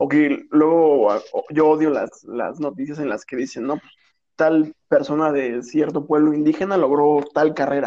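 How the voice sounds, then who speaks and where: Speaking with a Mexican accent, a man uses a fairly high pitch and a dark, mellow tone. His pace is fairly slow and his intonation fairly even. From Mexico. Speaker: podcast co-host, business graduate. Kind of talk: casual chat.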